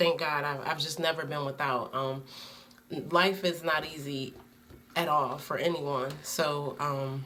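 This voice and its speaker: Fairly slow speech with an American accent and fairly even intonation. Noticeable background noise and audible room echo surround it. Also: woman, very deep, low pitch for a woman. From Connecticut, Bridgeport. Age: 30s. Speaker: student. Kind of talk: self-introduction video. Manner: hesitant, many fillers.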